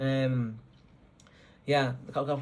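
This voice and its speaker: Somewhat breathy delivery with monotone, flat intonation. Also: man. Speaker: engineering student. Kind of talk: advice talk. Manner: fast; halting, many repeats.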